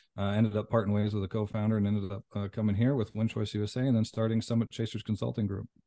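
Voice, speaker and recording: Over a quiet background, a man with a dark, mellow tone and fairly low pitch speaks at a very fast pace with hardly any pauses, in a monotone, flat intonation and a dry, close sound with no echo. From Canada. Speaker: business consultant and former professional athlete. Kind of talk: podcast interview.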